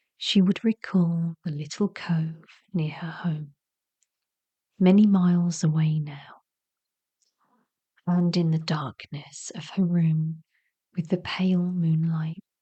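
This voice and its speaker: Soft-spoken, with an English accent and a gentle tone, the speaker goes very slowly with long, frequent pauses. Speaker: narrator. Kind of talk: sleep story. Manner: soft-spoken, gentle.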